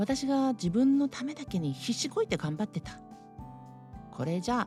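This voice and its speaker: Very wide pitch swings at a moderate pace, with music in the background. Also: woman. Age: 60s. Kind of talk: casual talk to camera.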